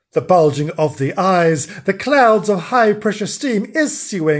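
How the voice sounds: A natural reading voice carries lively intonation from start to finish.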